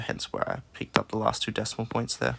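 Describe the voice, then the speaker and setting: A man speaks with vocal fry. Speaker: maths teacher. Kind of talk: recorded maths lesson, working through a practice test. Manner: low energy.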